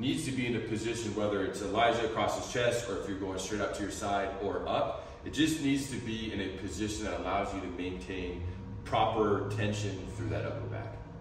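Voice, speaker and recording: Someone talks at a fairly quick pace with hardly any pauses and ordinary pitch variation, in a room with audible echo and noticeable background noise. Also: man, fairly low pitch for a man. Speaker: strength coach. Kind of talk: tutorial. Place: gym. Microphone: camera far.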